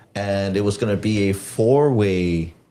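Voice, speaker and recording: A man with an American accent, a fairly low pitch, a dark, mellow tone, and fairly even intonation. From Texas, Rio Grande Valley. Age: 30s. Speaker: professional wrestler. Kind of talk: casual chat.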